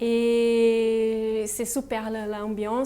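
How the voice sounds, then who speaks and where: Her tone is dark and mellow. This woman's pitch sits fairly high. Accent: Portuguese. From Brazil. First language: Portuguese (speaking French). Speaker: R&D engineer. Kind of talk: interview. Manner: halting.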